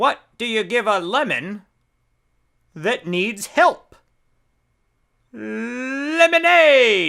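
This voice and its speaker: Pitched fairly high, a put-on character voice moves at a very slow pace with long, frequent pauses, on a very clean recording with a silent background. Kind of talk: joke telling for children. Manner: playful, upbeat.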